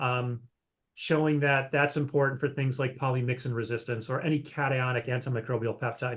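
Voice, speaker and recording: A man speaks at a fairly quick pace in a medium pitch. His voice is somewhat breathy, with flat, monotone intonation. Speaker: microbiology researcher. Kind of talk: scientific talk Q&A. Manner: fast.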